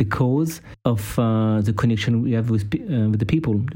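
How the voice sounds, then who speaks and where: In a French accent, a man speaks at a fairly slow pace with a medium pitch and a dark, mellow tone. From France. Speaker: podcast co-host, personal trainer. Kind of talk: casual interview.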